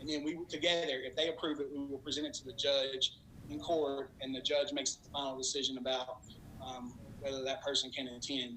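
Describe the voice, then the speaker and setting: Over noticeable background noise, a man with a fairly high pitch talks at a fairly quick pace in a monotone, flat way. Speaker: treatment program director. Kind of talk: public presentation. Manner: fast.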